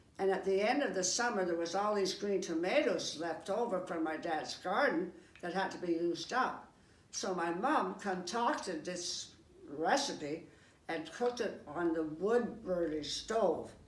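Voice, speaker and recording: Her medium-pitched voice carries lively intonation. A woman speaks amid noticeable background noise and audible room echo. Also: fairly slow pace. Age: 90s. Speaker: senior cookbook participant. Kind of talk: personal reminiscence.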